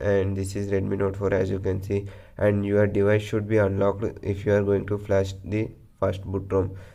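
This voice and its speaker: A man speaks with a fairly low pitch and a dark, mellow tone, his intonation monotone and flat. Audible room echo surrounds the voice. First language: not English. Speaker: tech tutorial youtuber. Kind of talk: tutorial.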